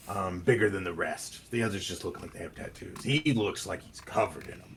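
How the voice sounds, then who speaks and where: Using a put-on character voice, a man speaks raspy and fairly low-pitched at a fairly quick pace. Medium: actual play. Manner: hesitant, rambling.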